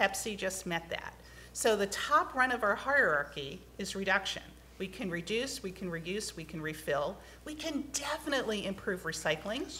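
A woman talks at a moderate pace and medium pitch, with very wide pitch swings. Light background noise can be heard. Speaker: environmental advocate testifying at hearing; witness. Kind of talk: testimony at legislative hearing. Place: hall. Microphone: podium.

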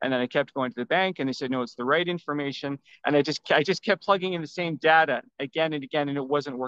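A man with a Canadian accent speaks very fast in a fairly high voice, with hardly any pauses and ordinary pitch variation. The sound is dry with no echo, against a quiet background. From Vancouver, Canada; British Columbia, Canada. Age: 50s. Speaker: self-published author; podcast guest. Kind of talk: interview. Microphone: video call.

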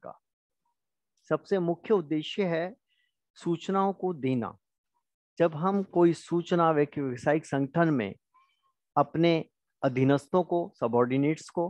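With a fairly high pitch and lively intonation, a man speaks with long, frequent pauses. The sound is dry and close with no echo, over a quiet background. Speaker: college lecturer. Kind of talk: lecture.

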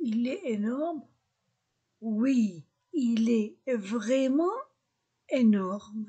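A woman's high-pitched voice with a dark, mellow tone and lively intonation. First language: Arabic (speaking French). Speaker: French teacher. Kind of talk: language lesson.

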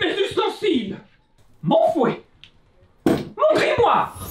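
There is slight echo as a man in a cartoonish character voice speaks at a very slow pace. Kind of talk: children's puppet street theatre. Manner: flustered, fussy, exclaiming.

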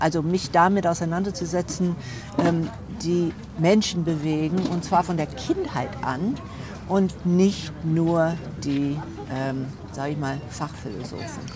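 With noticeable background noise, a woman talks at a very slow pace with long, frequent pauses, her fairly low pitch moving with ordinary variation in a dry sound with no echo. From USA. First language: English (speaking German). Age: 60s. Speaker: philosopher; interviewee. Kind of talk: interview; interview answer. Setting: at her home. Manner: hesitant, many fillers. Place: cafe. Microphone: lapel.

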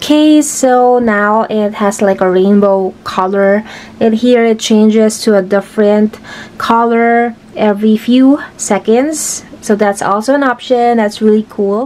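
Speaking at a fairly slow pace, a woman keeps her loudness very even and her intonation fairly even. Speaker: product reviewer. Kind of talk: product demo tutorial. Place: home room.

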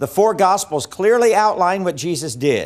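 The pace of this man's speech is moderate. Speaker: evangelism teacher. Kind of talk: lecture. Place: studio. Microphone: lapel.

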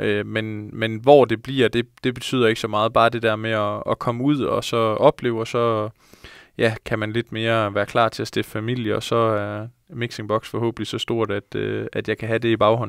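Over a quiet background, a man speaks at a moderate pace in a monotone with flat intonation, the sound dry with no echo. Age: 20s. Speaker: professional footballer; guest. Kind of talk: casual interview. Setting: studio. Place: studio. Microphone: handheld.

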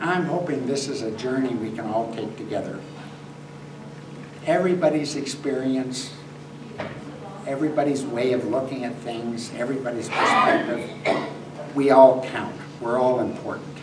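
A man speaks at a moderate pace with fairly even intonation, long and frequent pauses, and noticeable background noise. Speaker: guest. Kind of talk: talk to seniors' group. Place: hall.

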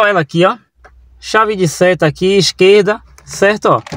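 Dry sound with no echo from a man with a high pitch. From Brazil. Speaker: car channel youtuber; car tutorial host. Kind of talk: tutorial. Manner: halting, many filler sounds. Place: car. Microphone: phone near.

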